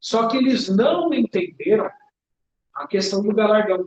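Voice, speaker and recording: This man's voice sits high in pitch. He delivers his words at a fairly slow rate. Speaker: preacher. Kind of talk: sermon.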